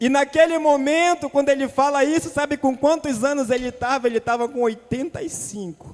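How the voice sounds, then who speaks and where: An animated man with an extremely high pitch, ordinary pitch variation, a moderate pace and hardly any pauses. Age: young. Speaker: preacher. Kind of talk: sermon.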